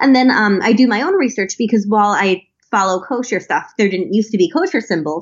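A woman's somewhat breathy, fairly high voice, very fast and lively in intonation. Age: 20s. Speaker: think tank policy fellow. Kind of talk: interview.

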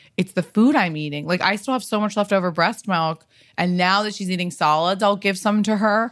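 A woman with an unremarkable speaking voice, medium pitch and ordinary pitch variation, at a fairly quick pace in a very clean recording with a silent background. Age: 30s. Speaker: stylist and designer, podcaster. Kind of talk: casual chat.

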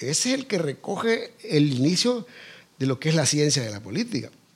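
Very wide pitch swings at a moderate pace. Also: man. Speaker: educator and party founder. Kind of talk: interview.

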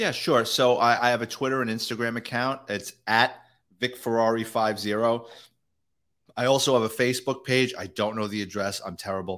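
A man with a New York accent speaks at a moderate pace in a medium pitch with fairly even intonation. The recording is very clean, with a silent background. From New York City, the Bronx. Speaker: retired police detective and author. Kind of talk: interview. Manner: casual, uses fillers.

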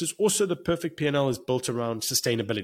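Speaking at a very fast pace with a South African accent, a man uses a medium pitch and lively intonation. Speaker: financial consultant. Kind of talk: podcast interview.

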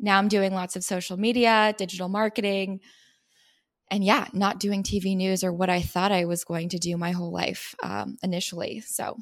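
Speaking in a Californian accent, a woman at a medium pitch talks at a moderate pace with monotone, flat intonation. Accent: Californian American. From San Diego, California. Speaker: lifestyle influencer, former TV reporter. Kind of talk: casual interview.

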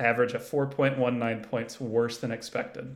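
In a normal speaking voice, the speaker moves at a moderate pace with fairly even intonation. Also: man. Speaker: college basketball analyst. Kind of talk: casual sports chat.

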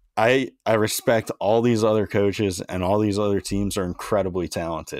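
A man with an American accent and an unremarkable speaking voice talks at a fairly low pitch and a moderate pace with ordinary pitch variation, in a very clean recording with a silent background and a dry, close sound with no echo. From Maryland, between Baltimore and DC. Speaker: former college baseball pitcher, podcast host. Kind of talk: casual chat.

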